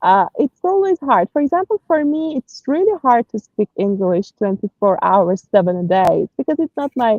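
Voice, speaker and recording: A woman with a Persian accent talks at a moderate pace with hardly any pauses, her high voice making very wide pitch swings. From Iran, Tehran. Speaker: personal branding consultant. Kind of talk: interview. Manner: hesitant, many fillers.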